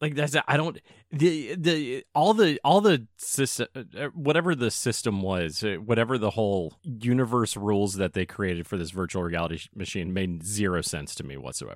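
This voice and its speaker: Hardly pausing, a man talks at a moderate pace with a fairly low pitch that swings very widely. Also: very clean recording, silent background. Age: 30s. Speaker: podcast co-host. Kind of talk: casual chat.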